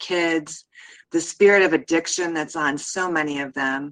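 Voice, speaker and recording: A woman with a plain, everyday voice speaks at a fairly low pitch. Her pace is fairly slow. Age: 50s. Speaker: show regular sharing arrest story. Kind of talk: testimony.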